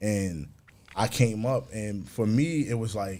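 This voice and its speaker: A man with a New York accent talks at a medium pitch with ordinary pitch variation. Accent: New York (Bronx). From New York, the Bronx. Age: 30s. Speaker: musician and producer. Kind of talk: casual interview.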